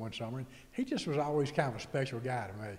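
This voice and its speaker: In a room with audible echo, a man speaks very fast with a Mississippi accent, medium pitch, and fairly even intonation. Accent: Mississippi Southern. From US South, Mississippi. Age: 60s. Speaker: author. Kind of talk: casual chat.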